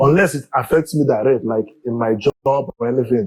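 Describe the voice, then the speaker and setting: Speaking with a Nigerian accent, a man talks at a medium pitch. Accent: Nigerian Igbo English. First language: Igbo. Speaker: community leader. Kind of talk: interview.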